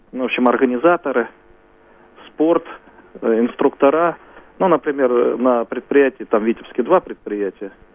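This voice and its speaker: There is noticeable background noise as a man talks at a medium pitch with ordinary pitch variation. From Smolensk region, Russia. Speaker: regional head of a society for the blind. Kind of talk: live radio interview.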